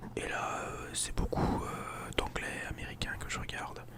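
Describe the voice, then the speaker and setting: A man whispering over noticeable background noise. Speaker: ASMR creator and volunteer football coach. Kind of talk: casual talk to camera, self-introduction.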